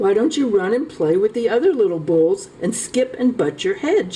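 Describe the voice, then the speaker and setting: A woman's put-on character voice, fairly high in pitch with very wide pitch swings, at a moderate pace over clear background noise. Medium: read story. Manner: gentle, encouraging.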